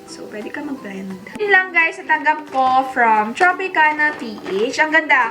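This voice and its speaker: A woman's raised, projected voice in an animated tone, with very wide pitch swings and music in the background. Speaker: beauty vlogger. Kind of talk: haul video, casual chat.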